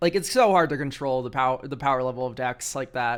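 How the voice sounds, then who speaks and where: A man talks in an unremarkable speaking voice at medium pitch and moderate pace. His intonation is fairly even, and the recording is very clean with a silent background. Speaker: streamer reviewing game decks. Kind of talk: live stream commentary.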